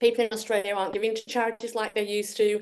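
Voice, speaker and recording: Against a quiet background, a woman with a strong Yorkshire accent speaks at medium pitch. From northern England, Yorkshire. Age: 60s. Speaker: Anglican priest and women's charity leader. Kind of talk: presentation. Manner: halting.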